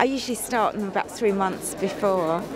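Music plays in the background of this dry recording with no echo. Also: woman. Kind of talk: interview answer. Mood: cheerful, laughing. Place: stadium. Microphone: handheld.

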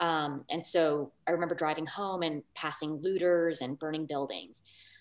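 The voice carries a Californian accent and moves at a moderate pace. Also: woman. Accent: General American (California). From Los Angeles. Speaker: English professor. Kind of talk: panel talk and presentation. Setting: video call. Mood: reflective, earnest. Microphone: video call.

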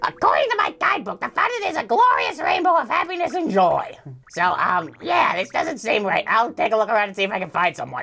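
Putting on a character voice, a man speaks at a fairly quick pace in an extremely high pitch.

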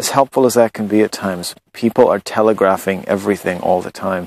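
Speaking at a moderate pace, a man with a fairly low pitch comes through in a dry recording with no echo. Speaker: spiritual blogger. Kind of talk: reflective monologue. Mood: calm, earnest. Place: garden. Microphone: phone near.

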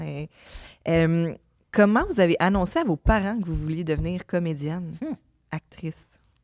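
Spoken at a moderate pace with a Quebec accent, this voice has ordinary pitch variation and big swings in loudness, recorded very cleanly against a silent background with a dry, close sound and no echo. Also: woman. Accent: Québécois French. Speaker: podcast co-host. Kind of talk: casual chat.

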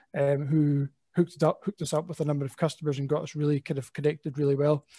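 Spoken fairly quickly in a Scottish accent, the voice has a dark, mellow tone. The background stays quiet. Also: man. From Scotland. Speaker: business executive. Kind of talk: panel discussion. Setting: video call. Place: office. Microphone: headset.

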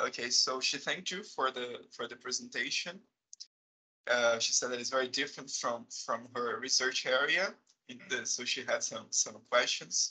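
A man with a Brazilian accent at a moderate pace, against a quiet background. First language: Portuguese. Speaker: chemistry professor. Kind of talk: seminar moderation. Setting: video call. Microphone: video call.

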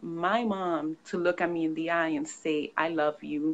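A woman with an American accent speaks at a moderate pace against a quiet background. She has a normal speaking voice with a fairly low pitch. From New York. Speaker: author and consultant. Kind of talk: interview. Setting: video call.

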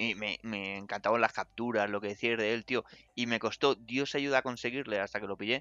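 Talking at a fairly quick pace, a man with a plain, everyday voice uses a medium pitch and ordinary pitch variation. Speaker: video game journalist. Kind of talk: casual chat. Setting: online call on Discord.

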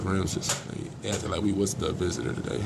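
A man talks at a fast pace in a low register with vocal fry. His intonation stays fairly even over clear background noise.

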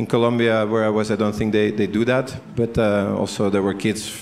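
A man speaks at a fairly quick pace with a slightly mellow tone and some vocal fry. His pitch moves very little.

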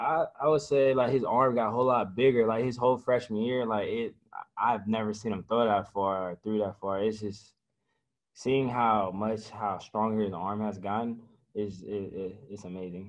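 Fairly low in pitch with fairly even intonation, this man has an ordinary speaking voice. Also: moderate pace, quiet background. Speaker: college football player. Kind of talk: interview. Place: meeting room. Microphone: video call.

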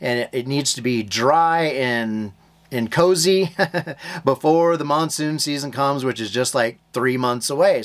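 A man with ordinary pitch variation keeps a moderate pace, and the background is quiet. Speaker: homestead vlogger. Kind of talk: casual vlog chat. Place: home room. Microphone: phone near.

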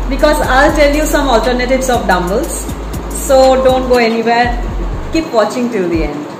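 The speech moves at a moderate pace with music in the background. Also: woman, high pitch for a woman. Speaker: fitness vlogger. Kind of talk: casual vlog chat. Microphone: phone near.

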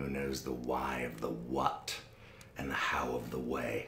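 Audible room echo follows a man as he talks very slowly. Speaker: actor in a drama scene. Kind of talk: theatrical declamation. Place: home room.

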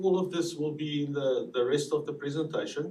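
A man speaks with a South African accent at a moderate pace. Audible room echo surrounds his voice. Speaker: survey researcher presenting results. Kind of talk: presentation to city council. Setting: city council meeting.

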